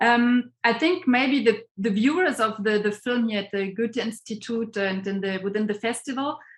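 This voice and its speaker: Somewhat breathy and with a German accent, the voice moves at a moderate pace with hardly any pauses and ordinary pitch variation. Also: woman, fairly high pitch for a woman. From Germany. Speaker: professor and interviewer. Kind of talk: online interview. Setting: video call.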